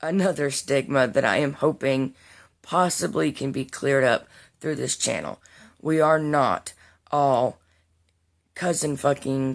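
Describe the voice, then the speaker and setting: In an American accent, a woman speaks with a very deep, low pitch and long, frequent pauses on a very clean recording with a silent background. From US Deep South. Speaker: vlogger. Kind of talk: casual vlog monologue. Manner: unscripted, with fillers.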